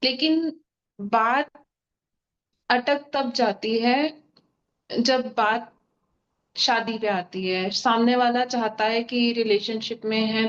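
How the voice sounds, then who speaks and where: Fairly high female voice with ordinary pitch variation. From Mumbai, India. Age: 20s. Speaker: audience member asking a question. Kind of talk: asking a question.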